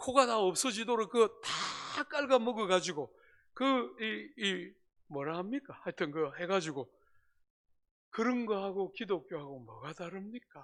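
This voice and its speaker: A man with a Gyeongsang accent speaks in an animated tone at a high pitch and a fairly slow pace, with very wide pitch swings and big swings in loudness. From South Korea, Gyeongsang (Busan). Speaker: pastor. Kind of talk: sermon.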